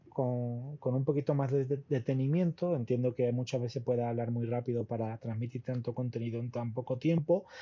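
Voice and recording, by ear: A man's medium-pitched voice with fairly even intonation and few pauses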